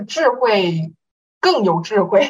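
A woman talks at a very slow pace. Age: young. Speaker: young online class participant. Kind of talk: casual Q&A.

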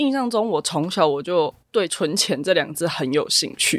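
On a very clean recording with a silent background, a woman talks in a fairly low pitch with lively intonation. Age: 20s. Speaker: finance professional. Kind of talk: interview.

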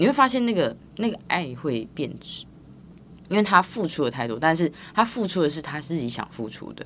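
A woman speaks at a moderate pace in a Taiwanese accent. Her pitch is very deep and low, with very wide swings. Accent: Taiwanese Mandarin. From Taiwan, Tainan. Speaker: physical therapist and business founder. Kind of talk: casual interview.

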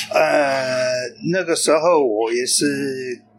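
A man with a medium pitch and ordinary pitch variation at a very slow pace, with noticeable background noise. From England. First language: English (speaking Chinese). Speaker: long-term expat, interviewee. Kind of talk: casual interview. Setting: cafe. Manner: halting, many fillers.

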